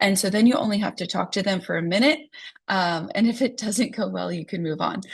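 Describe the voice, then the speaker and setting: A somewhat breathy woman with an American accent at a fairly quick pace. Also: medium pitch for a woman, lively intonation. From US Midwest, South Dakota. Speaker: real estate agent. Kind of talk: online training talk. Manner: casual with many fillers.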